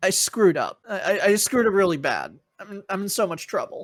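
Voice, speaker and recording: In a raspy, put-on character voice pitched high, a man talks at a fairly quick pace. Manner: distraught, stammering.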